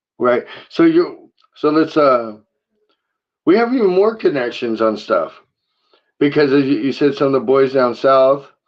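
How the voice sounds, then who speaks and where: A man's fairly high, mumbling voice with lively intonation, a fairly slow pace and long, frequent pauses. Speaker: podcast host. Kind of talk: casual chat.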